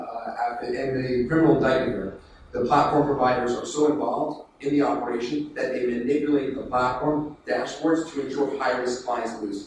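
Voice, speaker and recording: Strong room echo and light background noise surround a man speaking at a moderate pace with fairly even intonation. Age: 30s. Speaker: company founder giving a conference talk; conference speaker. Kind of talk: conference presentation. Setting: conference room with audience. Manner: many fillers and false starts. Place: hall. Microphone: phone near.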